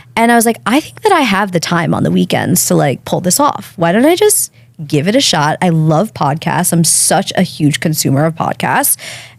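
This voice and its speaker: A woman's fairly low voice in an American accent, moderate in pace, with very wide pitch swings and noticeable background noise. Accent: Long Island accent, milder than before. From Long Island, New York. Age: 30s. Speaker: podcast host and guest. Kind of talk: casual interview chat.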